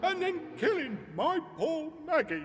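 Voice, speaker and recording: A man speaks at a fairly slow pace in a cartoonish character voice pitched extremely high, with clear background noise behind him. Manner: chatty, rambling.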